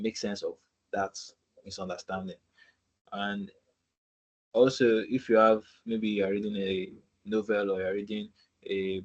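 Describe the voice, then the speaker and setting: In a Nigerian accent, the voice stays monotone and flat, broken by long, frequent pauses. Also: man, fairly low pitch for a man, moderate pace. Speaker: student ambassador presenting a webinar. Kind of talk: tutorial webinar. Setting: video call.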